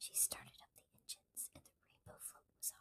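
Someone whispers at a moderate pace. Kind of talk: children's book read-aloud. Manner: whispered.

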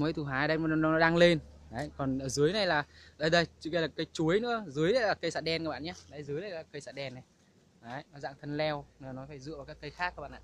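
Talking at a very fast pace, a man with a fairly high-pitched, fairly bright voice shows ordinary pitch variation.

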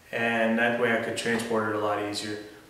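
In a room with audible echo, a man talks at a fairly quick pace in a monotone, flat intonation. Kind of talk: tutorial. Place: garage. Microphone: camera far.

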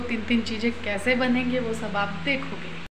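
Noticeable background noise runs under a woman talking at a fairly slow rate. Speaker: home vlogger. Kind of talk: casual vlog chat.

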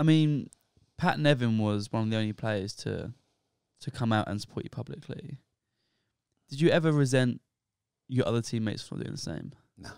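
Over a quiet background and in a dry sound with no echo, a man with a British accent talks at a fairly quick pace with long, frequent pauses, big swings in loudness, ordinary pitch variation and a medium pitch. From England. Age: 20s. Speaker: podcast host, recent university graduate; podcast host. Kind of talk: casual podcast chat and interview. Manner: hesitant, repeats words. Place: home room. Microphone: handheld.

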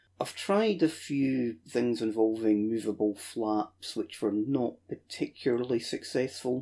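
With a Scottish accent, a man speaks at a medium pitch in a dark, mellow tone. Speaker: model aircraft hobbyist. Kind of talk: casual video narration. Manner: dry, sarcastic.

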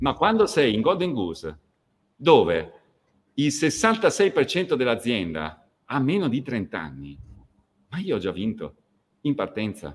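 A man with vocal fry talks at a very slow pace, his pitch swinging very widely between long, frequent pauses. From northern Italy, near Verona; northern Italy. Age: 40s. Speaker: fashion company executive; guest. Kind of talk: interview. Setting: video call. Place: home room.

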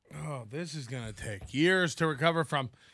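Against a quiet background, a man projects a raised voice with a bright, sharp tone and lively intonation, the sound dry with no echo. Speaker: live streamer. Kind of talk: casual live stream chat. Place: studio. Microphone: studio mic.

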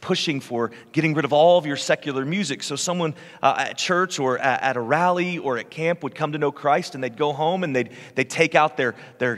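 A man at a fairly quick pace, ordinary pitch variation, quiet background. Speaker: lead pastor. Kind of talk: sermon. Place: church. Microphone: headset.

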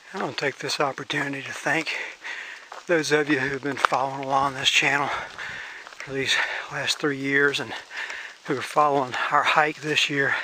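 Recorded dry with no echo and noticeable background noise, a man speaks in a flat monotone at a moderate pace with long, frequent pauses. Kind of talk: casual vlog chat. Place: forest. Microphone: phone near.

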